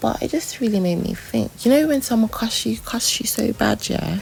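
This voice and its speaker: A woman speaks softly. Music plays in the background. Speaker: vlogger. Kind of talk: personal vlog diary. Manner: soft-spoken, muted; rambling, hesitant with many fillers.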